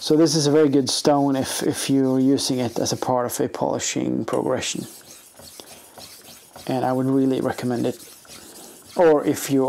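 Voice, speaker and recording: The speaker uses a relaxed tone at a moderate pace, with noticeable background noise behind them. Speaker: knife sharpener. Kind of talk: casual talk to camera. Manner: hesitant, relaxed.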